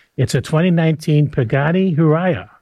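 A man with a Canadian accent has a plain, everyday voice. His pitch is fairly high, with ordinary pitch variation. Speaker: radio host. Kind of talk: casual radio chat. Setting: radio studio.

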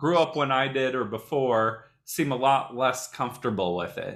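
With an American accent, a man speaks in a plain, everyday voice at a moderate pace. His intonation is lively. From Indiana, US. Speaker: podcast host, youth worker. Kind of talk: interview.

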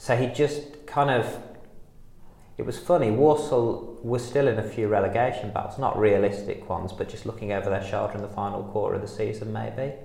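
A man's somewhat breathy, dark and mellow voice, medium in pitch, with ordinary pitch variation and a fairly quick pace. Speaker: football fan and writer. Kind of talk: casual interview chat.

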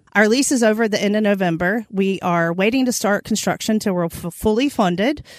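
A woman with an American accent talks at a fairly quick pace with hardly any pauses, using an unremarkable speaking voice, a medium pitch and ordinary pitch variation. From Eastern North Carolina, Halifax County. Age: 40s. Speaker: vegan chef and restaurant owner. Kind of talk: casual interview.

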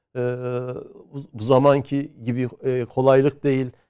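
A man speaks at a medium pitch and a moderate pace, his tone dark and mellow. The recording is very clean, with a silent background. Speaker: history professor. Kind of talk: interview. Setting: studio. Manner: hesitant, many filler sounds.

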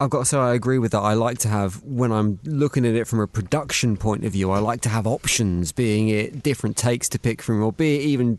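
A man with an unremarkable speaking voice talks at a fairly quick pace and medium pitch, with hardly any pauses. His loudness stays very even and his pitch variation is ordinary. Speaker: podcast host. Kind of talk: interview.

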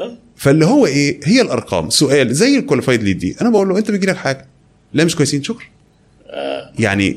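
Talking at a very fast pace, a man shows very wide pitch swings and vocal fry. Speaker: e-commerce entrepreneur. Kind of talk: interview.

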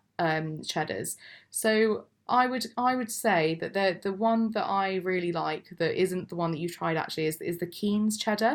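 In a very clean recording with a silent background, a woman with an English accent speaks at a moderate pace, her medium pitch showing ordinary variation. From England. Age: 20s. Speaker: cheese and wine business founder. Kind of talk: interview. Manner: hesitant, filler-heavy.

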